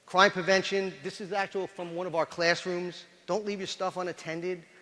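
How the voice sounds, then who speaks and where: A man speaks with a high pitch and a bright, sharp tone. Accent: New York. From New York. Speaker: police chief. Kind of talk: lecture. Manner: animated.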